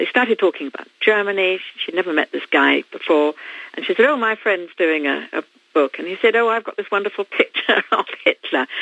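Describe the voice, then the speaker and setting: A woman with a British accent and lively intonation. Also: medium pitch for a woman, fairly quick pace. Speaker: author. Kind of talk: interview. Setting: phone call.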